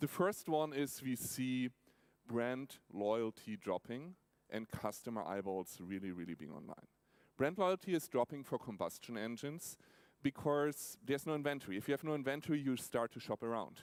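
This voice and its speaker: Recorded with a dry, close sound and no echo, a man of medium pitch speaks at a moderate pace with lively intonation. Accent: German. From Germany, Nuremberg. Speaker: tech company automotive executive. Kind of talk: keynote talk. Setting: stage with audience in an opera house.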